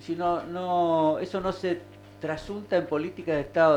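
A man speaks at a fairly slow pace, his pitch fairly high. It is an ordinary speaking voice. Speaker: local radio host. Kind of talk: casual talk radio.

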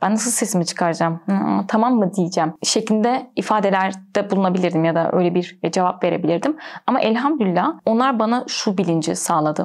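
With ordinary pitch variation, an ordinary speaking voice moves along at a fairly quick pace. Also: woman. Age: 20s. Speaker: graduate student. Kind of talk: interview.

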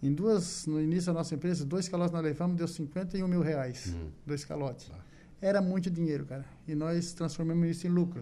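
Audible room echo surrounds a man with a high pitch and a dark, mellow tone. He moves at a fairly quick pace with fairly even intonation. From southern Brazil, Santa Catarina. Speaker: business owner. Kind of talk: radio interview. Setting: studio.

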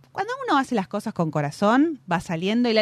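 Over noticeable background noise, a woman talks at a fairly quick pace, her fairly high pitch swinging very widely. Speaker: radio host. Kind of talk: casual chat. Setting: studio.

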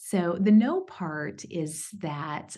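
With an American accent, a woman uses an ordinary speaking voice, fairly low in pitch, with lively intonation. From East Texas, US. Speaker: HR executive. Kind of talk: interview, personal story.

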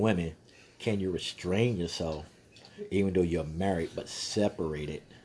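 A man with an American accent and a very deep, low pitch speaks at a moderate pace with fairly even intonation, a dark, mellow tone, and long, frequent pauses. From Texas. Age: 50s. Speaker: podcast host. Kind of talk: casual monologue. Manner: halting.

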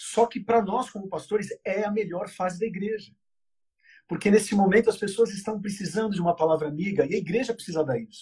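Speaking at a very fast pace, a man uses a high pitch and a dark, mellow tone with ordinary pitch variation. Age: 30s. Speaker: pastor. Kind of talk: interview conversation.

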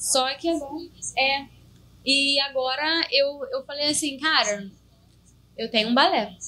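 Raised and projected, a woman's high voice has a bright, sharp tone and ordinary pitch variation, moving at a fairly slow pace with long, frequent pauses. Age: 20s. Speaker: funk singer and songwriter. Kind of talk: casual chat.

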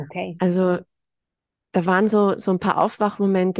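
With a dark, mellow tone and monotone, flat intonation, a woman speaks at a fairly slow pace in a dry, close sound with no echo and a quiet background. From Austria. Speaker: spiritual guide. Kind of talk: interview. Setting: video call.

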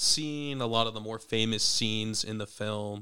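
Recorded very cleanly against a silent background, a man with a bright, sharp tone talks at a moderate pace and a medium pitch. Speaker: podcast co-host. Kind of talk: casual chat.

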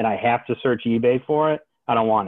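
A man talks at a fairly quick pace in an ordinary speaking voice. His pitch sits in the medium range. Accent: American. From Michigan. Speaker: card collector. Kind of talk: casual chat.

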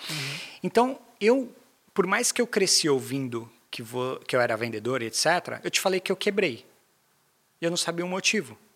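A man talks in a high voice with very wide pitch swings. He leaves long, frequent pauses. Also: moderate pace. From Brazil, São Paulo (Zona Leste). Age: 30s. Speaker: sales manager. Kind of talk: casual interview.

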